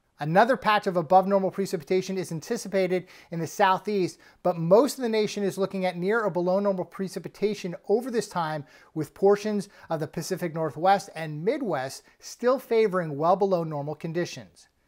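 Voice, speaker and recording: The recording is very clean, with a silent background. A man with a high pitch and ordinary pitch variation talks at a fairly quick pace. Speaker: meteorologist. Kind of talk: weather report. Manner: formal; steady, even-paced.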